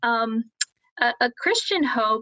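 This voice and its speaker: A woman speaks with a Midwestern American accent. Her pitch is fairly high. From US Midwest, Columbus, Ohio. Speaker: education professor. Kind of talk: interview.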